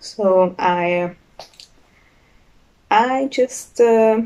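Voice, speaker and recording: Her voice fairly high with a dark, mellow tone, a woman speaks with a strong non-native accent and fairly even intonation. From Hungary. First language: Hungarian. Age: young. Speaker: knitter, student. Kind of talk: casual podcast talk. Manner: hesitant, many fillers.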